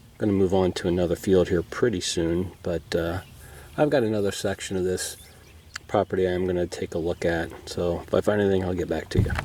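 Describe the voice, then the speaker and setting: This man has a very deep, low voice with a dark, mellow tone and an American accent. He speaks at a fairly quick pace with fairly even intonation. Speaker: arrowhead hunter. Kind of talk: outdoor vlog narration. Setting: outdoors.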